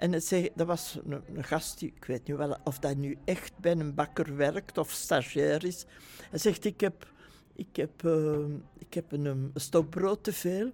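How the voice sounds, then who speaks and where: Speaking at a very slow pace, a woman with a very deep, low pitch and a dark, mellow tone uses ordinary pitch variation, her loudness swinging widely. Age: 80s+. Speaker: retired nurse. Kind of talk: testimony.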